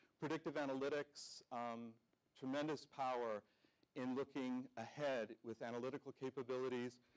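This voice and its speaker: Man in a monotone, flat intonation against a quiet background. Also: moderate pace. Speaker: conference presenter. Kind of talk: keynote presentation. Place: hall.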